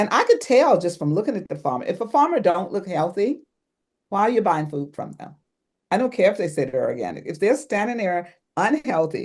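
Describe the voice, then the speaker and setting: A woman's medium-pitched voice, fairly quick in pace, with very wide pitch swings. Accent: American. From US, grew up on a farm. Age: 70s. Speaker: herbalist and biodynamic gardener. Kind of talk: interview.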